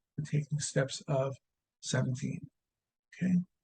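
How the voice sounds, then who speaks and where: A man with a fairly high pitch and a dark, mellow, somewhat breathy tone speaks at a moderate pace with ordinary pitch variation in a dry, close sound with no echo. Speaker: statistics instructor. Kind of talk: tutorial. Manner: halting.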